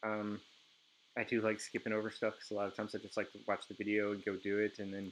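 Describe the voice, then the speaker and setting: Very fast speech with monotone, flat intonation. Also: man. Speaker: game developer streaming a tutorial. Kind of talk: live screen-share tutorial. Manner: hesitant, with frequent fillers.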